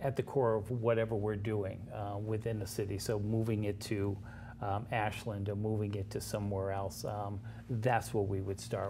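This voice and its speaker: At a moderate pace, a man with a fairly low pitch speaks in a somewhat breathy, dark and mellow tone, monotone and flat, with audible room echo. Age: 60s. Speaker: nonprofit founder. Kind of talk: interview. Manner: halting, many fillers.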